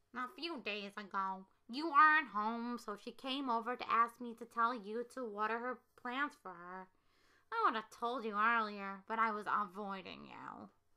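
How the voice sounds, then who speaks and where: A woman puts on a rumbling character voice at a fairly high pitch. She keeps a moderate pace with ordinary pitch variation and big swings in loudness. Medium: read story. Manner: grumbling.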